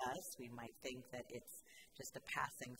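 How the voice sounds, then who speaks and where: A woman speaks over noticeable background noise. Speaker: pastor. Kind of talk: sermon. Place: church. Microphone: podium.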